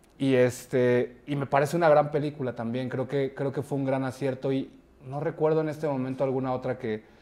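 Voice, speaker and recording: Monotone, flat intonation at a fairly quick pace, in a dark, mellow tone. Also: man. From Mexico City. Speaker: actor and film director; actor. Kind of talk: casual interview. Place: studio. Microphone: lapel.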